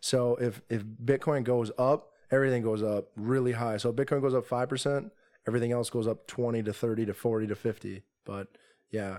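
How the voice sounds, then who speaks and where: This man has a normal speaking voice and an American accent. He talks at a fairly quick pace with medium pitch and fairly even intonation. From Minnesota, Twin Cities suburbs. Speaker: day trader. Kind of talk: casual chat. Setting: in person.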